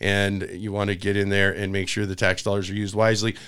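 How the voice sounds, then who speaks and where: A man with an American accent speaks at a moderate pace in a fairly low pitch. The recording is very clean, with a silent background. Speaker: political talk show host. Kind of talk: interview. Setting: studio.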